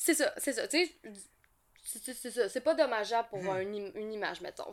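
On a very clean recording with a silent background, a woman in a Quebec accent talks at a fairly quick pace with very wide pitch swings. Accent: Québécois French. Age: 40s. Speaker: ASMR YouTuber. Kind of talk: casual chat.

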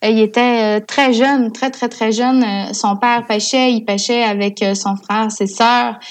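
Over a quiet background, a woman speaks at a very slow pace with hardly any pauses, using monotone, flat intonation at a fairly high pitch. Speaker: communications coordinator for a salmon fishing federation. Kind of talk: casual interview chat.

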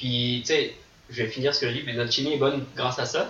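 With fairly even intonation and a medium pitch, a man speaks over noticeable background noise. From France, Vendée. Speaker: ultimate frisbee player. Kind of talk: casual chat. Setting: studio.

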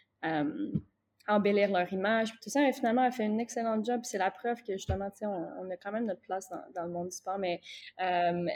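Her loudness swings widely as a woman with a fairly high pitch and a dark, mellow tone talks at a moderate pace with lively intonation. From Quebec (Gatineau). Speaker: basketball coach. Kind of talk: interview.

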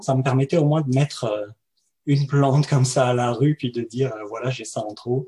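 This man speaks at a moderate pace in a medium pitch, his tone dark and mellow and somewhat breathy. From France. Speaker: web developer and entrepreneur. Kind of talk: interview.

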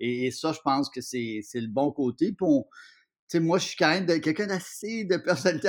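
A man delivers an unremarkable speaking voice at a moderate speed, pitched fairly high and showing ordinary pitch variation. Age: 50s. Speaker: TV host, columnist and actor. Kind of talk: casual interview.

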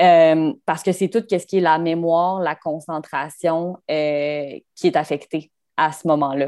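A woman with a fairly low pitch, a dark, mellow tone and fairly even intonation, at a very slow pace. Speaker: sports journalist. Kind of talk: casual interview.

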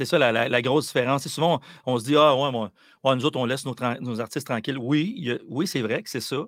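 A man talks at a very fast pace, medium in pitch with ordinary pitch variation. The recording is very clean, with a silent background. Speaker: musician. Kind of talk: interview.

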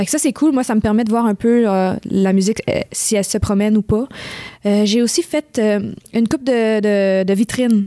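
With a Quebec accent, a woman speaks at a moderate pace with fairly high pitch, ordinary pitch variation and very even loudness, recorded dry and close with no echo. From Montreal West Island, Quebec. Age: 20s. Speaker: singer-songwriter. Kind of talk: interview. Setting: studio.

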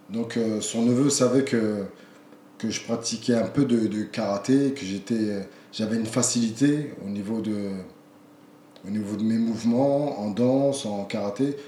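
There is audible room echo as a man talks in a medium pitch with fairly even intonation. He goes at a fairly slow pace with long, frequent pauses. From France. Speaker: kickboxing champion and coach. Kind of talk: interview conversation. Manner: halting, repeats words.

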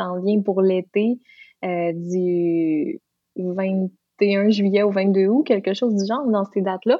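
A woman at a medium pitch with a Lac-Saint-Jean accent, very slow pace and fairly even intonation. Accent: Lac-Saint-Jean Quebec French. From Quebec, Lac-Saint-Jean. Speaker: singer and hairdresser. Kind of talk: interview.

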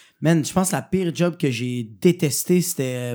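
Against a silent background on a very clean recording, a voice with a Quebec accent and a dark, mellow tone speaks at a moderate pace with ordinary pitch variation. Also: man. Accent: Québécois French. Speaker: comedian. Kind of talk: casual chat.

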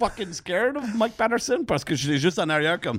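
A man with a Quebec accent sounds animated, his high voice making very wide pitch swings. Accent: Québécois. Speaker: comedian. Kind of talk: casual chat.

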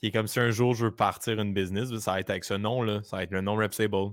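With a Quebec accent, a man speaks at a fairly quick pace in a fairly low voice and fairly even intonation. The recording is very clean, with a silent background. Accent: Québécois French. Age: 20s. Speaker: entrepreneur, creative agency co-owner. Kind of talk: casual interview chat.

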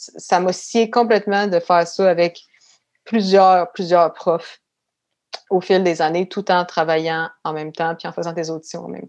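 A woman with a normal speaking voice talks at a fairly slow pace and fairly low pitch. Her intonation is fairly even, but her loudness swings a lot. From Quebec City suburbs (Beauport), Quebec. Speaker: actress and artistic career coach. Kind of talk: casual interview.

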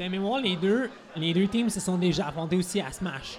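A high-pitched man in a Quebec accent talks at a moderate pace over noticeable background noise. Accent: Québécois French. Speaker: wrestling podcast co-host. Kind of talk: casual chat. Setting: recording at a convention.

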